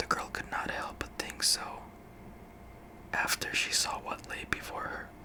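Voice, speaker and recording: Whispering at a fairly slow pace, a man is heard over noticeable background noise. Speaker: ASMR creator. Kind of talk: ASMR story reading. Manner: whispered.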